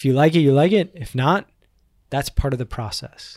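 An unremarkable speaking voice, recorded dry and close with no echo, moves at a moderate pace with ordinary pitch variation. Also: man. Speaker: podcast host. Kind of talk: casual interview. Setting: studio.

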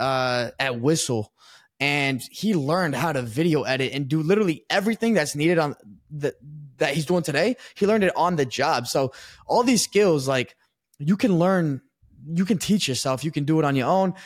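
In an unremarkable speaking voice with an American accent, a man talks at a moderate pace with lively intonation and a fairly high pitch, on a very clean recording with a silent background. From Texas. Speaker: sports podcaster. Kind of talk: interview.

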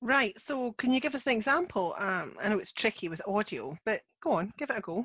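With a Scottish accent, a woman talks at a fairly quick pace and fairly high pitch, hardly pausing, her pitch swinging very widely. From Scotland. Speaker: non-fiction editor, podcast co-host. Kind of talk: casual educational chat.

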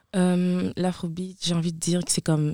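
The speaker talks at a fairly quick pace on a very clean recording with a silent background. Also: woman. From Ivory Coast. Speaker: student dancer. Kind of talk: interview.

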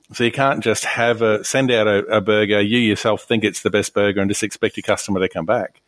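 Very fast, monotone, flat speech from a man with an Australian accent, fairly low in pitch, with hardly any pauses, very even loudness and a dry, close sound with no echo. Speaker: hospitality podcast co-host. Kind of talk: casual discussion.

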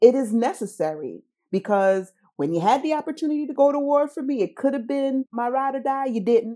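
Speaking at a fairly quick pace, a woman with a high pitch and a dark, mellow tone uses lively intonation on a very clean recording with a silent background. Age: younger than 45. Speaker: social worker and asset manager. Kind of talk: interview storytelling.

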